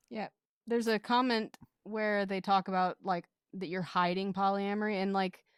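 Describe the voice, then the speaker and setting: At a moderate pace, a woman talks in a flat monotone at medium pitch, the sound dry and close with no echo on a very clean recording with a silent background. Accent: American. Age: late 20s. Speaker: podcast editor appearing as guest. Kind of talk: casual chat.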